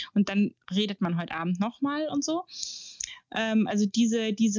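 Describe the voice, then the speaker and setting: A woman speaks at a fairly slow pace. She has a normal speaking voice with medium pitch. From Germany, Munich. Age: 40s. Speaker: journalist and author. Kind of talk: interview.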